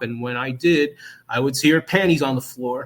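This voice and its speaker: The speaker has a strong New Jersey accent and talks at a moderate pace. The intonation is monotone and flat. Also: man. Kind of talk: interview answer.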